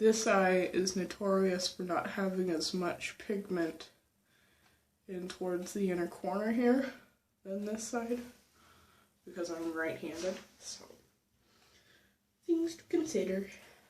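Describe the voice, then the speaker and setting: A soft-spoken woman talks with ordinary pitch variation, long and frequent pauses, and big swings in loudness. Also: medium pitch for a woman, fairly slow pace. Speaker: beauty vlogger. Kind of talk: tutorial. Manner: casual.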